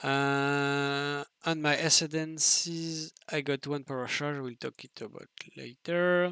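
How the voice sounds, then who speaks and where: A man's non-native accent, with a fairly high pitch, a bright, sharp tone, monotone, flat intonation, a very slow pace, and a dry, close sound with no echo. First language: French. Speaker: video game streamer. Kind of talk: tutorial. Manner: halting.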